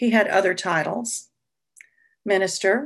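A woman at medium pitch speaks at a very slow pace with vocal fry. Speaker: retired music teacher. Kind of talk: personal storytelling. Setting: video call.

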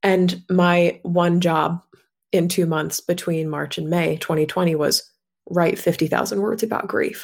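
In a normal speaking voice, a woman talks at a fairly slow pace. Her pitch is fairly low and her intonation fairly even. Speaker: author and grief guide. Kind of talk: casual interview.

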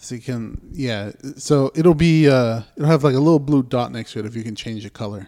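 A man's medium-pitched voice has a dark, mellow tone and ordinary pitch variation. He talks at a fairly quick pace, with big swings in loudness. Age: 30s. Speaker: podcast co-host. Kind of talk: casual chat.

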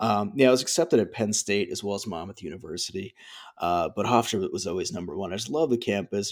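A man with an American accent talks at a very fast pace, his pitch fairly low with ordinary variation. The very clean recording has a silent background and a dry, close sound with no echo. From US New Jersey. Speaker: alumnus and former radio station director, music industry worker. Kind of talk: casual interview. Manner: hesitant, filler-heavy.

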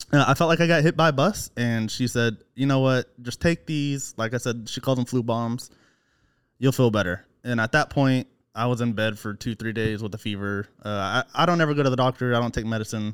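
A man with an American accent, an unremarkable speaking voice at medium pitch and a fairly quick pace, in a dry, close sound with no echo on a very clean recording against a silent background. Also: ordinary pitch variation. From Oklahoma. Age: 20s. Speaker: podcast listener, guest. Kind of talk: casual chat. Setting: man cave at home.

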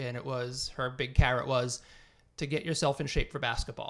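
In an American accent, a man talks at a fairly quick pace with fairly even intonation and a plain, everyday voice. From Massachusetts, North Andover. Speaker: teacher and track coach. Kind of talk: casual chat.

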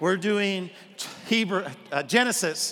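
Over noticeable background noise, a man with an American accent speaks very slowly in a raised, projected voice. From Arkansas, US South. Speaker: pastor. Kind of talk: sermon. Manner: animated.

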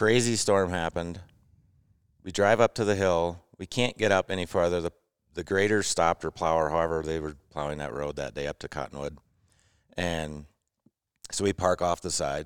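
A man with an American accent speaks at a moderate pace in a very deep, low pitch with ordinary pitch variation, leaving long, frequent pauses. The recording is very clean and dry, close with no echo and a silent background. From Wisconsin, US Midwest. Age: 40s. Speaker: snowmobile riding client. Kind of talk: casual chat.

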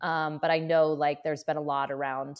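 A woman speaks at a moderate pace in a very deep, low voice with flat, monotone intonation, captured in a very clean recording against a silent background. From central Maine. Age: 30s. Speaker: seaweed farmer. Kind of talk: casual chat.

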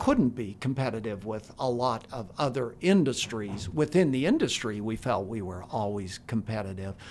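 A man in an unremarkable speaking voice at a medium pitch and moderate pace, with lively intonation, big swings in loudness and hardly any pauses. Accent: American. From Utah, Cache Valley. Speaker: retired finance executive and adjunct professor. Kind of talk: interview.

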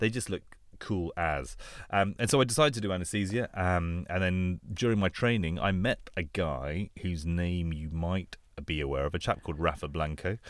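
A man with a London accent and a very deep, low voice speaks at a moderate pace with ordinary pitch variation, in a very clean recording with a silent background. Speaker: anaesthesia doctor and podcast host. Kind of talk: casual chat.

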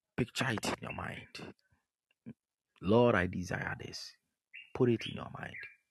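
A man talks in an animated tone with big swings in loudness. He leaves long, frequent pauses. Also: fairly slow pace. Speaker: pastor. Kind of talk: sermon and fervent prayer. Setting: online broadcast with remote audience. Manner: animated, urgent, repetitive exhortation; commanding, fervent prayer.

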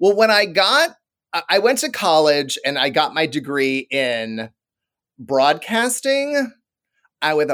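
Energetic and animated, a man with a fairly high pitch speaks with lively intonation in a very clean recording with a silent background. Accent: American. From Iowa, Des Moines. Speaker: TV broadcaster. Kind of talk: casual chat. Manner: energetic, animated.

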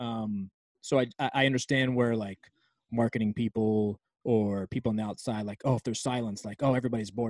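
Very fast and with an American accent, a man talks at a medium pitch with fairly even intonation. The recording is very clean and silent in the background, with a dry, close sound and no echo. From Virginia, near Washington D.C. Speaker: sports arena DJ and music producer. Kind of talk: casual interview.

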